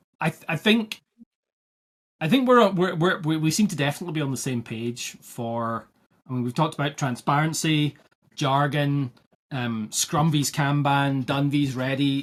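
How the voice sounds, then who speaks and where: A man with a Scottish accent speaks at a moderate pace. His voice sits fairly high, with ordinary pitch variation. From Scotland. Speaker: agile coach podcast host. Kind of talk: casual podcast conversation. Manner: halting, repeats words.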